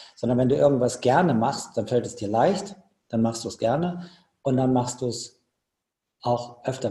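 At a fairly quick pace, a man speaks at a medium pitch, somewhat breathy, with a dark, mellow tone. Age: 50s. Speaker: ultra trail runner. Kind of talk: casual chat.

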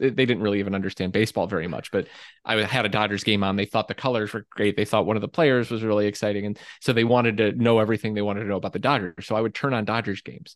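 Over a quiet background, a man with an American accent talks at a very fast pace and a fairly low pitch, with a dry, close sound and no echo. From Michigan and West Virginia. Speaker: author. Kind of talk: casual chat. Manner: halting.

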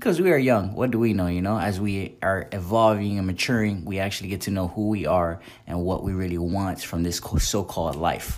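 A plain, everyday voice moves at a fairly quick pace with hardly any pauses and ordinary pitch variation. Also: man, fairly low pitch for a man. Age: 20s. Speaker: podcast host. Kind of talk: solo monologue podcast.

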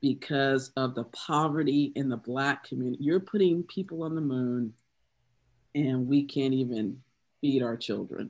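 With an American accent, a woman talks at a moderate pace in a very deep, low pitch with ordinary pitch variation. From US South, South Carolina. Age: 50s. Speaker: poet. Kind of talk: casual chat.

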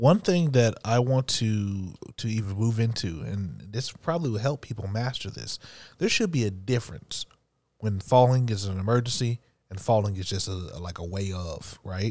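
In a very clean recording with a silent background, a man with an unremarkable speaking voice talks at a moderate pace, his fairly low pitch rising and falling in an ordinary way. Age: 30s. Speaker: podcast co-host. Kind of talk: casual chat.

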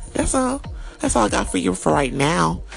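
A woman talks at a fairly quick pace in an animated tone. Noticeable background noise runs throughout. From US, Panamanian family. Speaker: podcaster and entertainer. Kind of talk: casual monologue.

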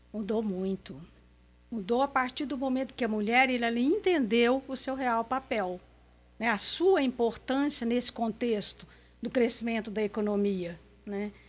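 A woman talks at a fairly slow pace in a fairly high voice with ordinary pitch variation, a plain, everyday voice, captured in a very clean recording with a silent background. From Minas Gerais, Brazil. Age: 60s. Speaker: businesswoman and association leader. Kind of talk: radio interview.

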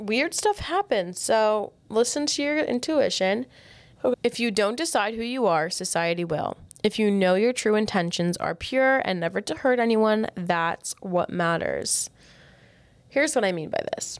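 A woman's fairly high voice at a fairly slow pace, with lively intonation and an animated tone. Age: 20s. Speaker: podcast host and product founder. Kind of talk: solo advice monologue.

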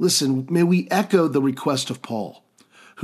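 A man with a plain, everyday voice speaks at a fairly slow pace in a fairly high pitch, his intonation lively. The recording is very clean, with a silent background. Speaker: podcast host and pastor. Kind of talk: sermon-like teaching monologue with prayers. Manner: earnest, fervent, warmly pleading, heartfelt prayer.

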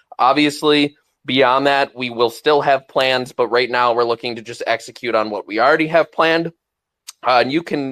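A man's bright, sharp voice at medium pitch, fairly even intonation and a moderate pace, on a very clean recording with a silent background and a dry, close sound with no echo. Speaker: NFT project founder guest. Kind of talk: panel discussion, casual talk. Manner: casual, filler-heavy.

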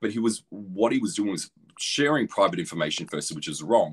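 Speaking in an Australian accent at a medium pitch, a man swings his pitch very widely. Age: 30s. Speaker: anti-bullying ambassador. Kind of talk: casual chat.

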